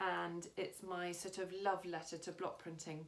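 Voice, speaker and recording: A woman's medium-pitched voice in a monotone, flat intonation. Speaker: block printing artist and teacher. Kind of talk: tutorial. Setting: studio. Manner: fast.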